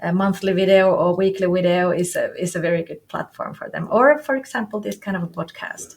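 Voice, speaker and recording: A woman's medium-pitched voice with a non-native accent, fairly quick and with hardly any pauses, over noticeable background noise. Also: ordinary pitch variation. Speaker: business coach. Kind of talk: interview. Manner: halting.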